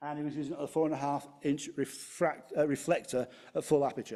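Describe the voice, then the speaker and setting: A man with a Manchester accent speaks in a fairly high voice with a dark, mellow tone and fairly even intonation. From Manchester, England. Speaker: amateur astronomer. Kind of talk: club lecture presentation. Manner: hesitant, many fillers.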